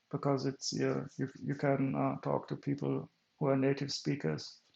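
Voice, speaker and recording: A German accent colors this man's speech. He talks fairly slowly. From Germany. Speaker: streamer. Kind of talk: casual chat. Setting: live stream. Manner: halting.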